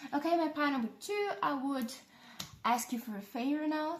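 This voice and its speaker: A woman with a non-native accent talks at a fairly slow pace. Her intonation is lively. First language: not English. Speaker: tarot reader. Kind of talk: tarot reading. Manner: halting; casual.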